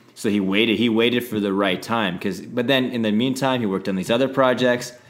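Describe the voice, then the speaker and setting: A man with a medium pitch talks at a fairly quick pace with fairly even intonation over music in the background. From Saskatchewan, Canada. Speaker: podcast co-host, entertainment entrepreneur. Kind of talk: casual chat.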